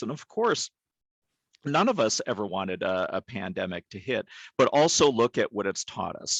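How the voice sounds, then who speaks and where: A man speaks with an unremarkable speaking voice at medium pitch. His pace is moderate. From Canada. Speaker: behavioral health leader in psychiatry. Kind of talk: webinar presentation. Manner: frequent fillers (um, uh).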